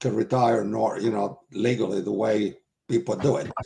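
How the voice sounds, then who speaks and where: A man's medium-pitched, dark and mellow voice with vocal fry, at a fairly slow pace. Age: 70s. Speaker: retired wrestling promoter. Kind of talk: interview.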